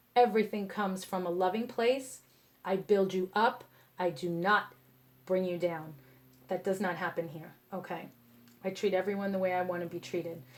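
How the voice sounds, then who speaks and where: A woman speaks in a passionate tone at a moderate pace with fairly even intonation. She pauses often and at length. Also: medium pitch for a woman. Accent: New York. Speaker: tarot reader. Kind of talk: tarot reading to camera. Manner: passionate, sometimes harsh tone; casual, conversational.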